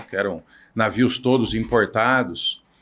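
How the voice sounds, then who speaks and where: The clip is very clean, with a silent background. The speaker has a plain, everyday voice. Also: man. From Brazil, Piracicaba (São Paulo state). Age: 60s. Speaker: naval engineer and entrepreneur. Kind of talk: podcast interview.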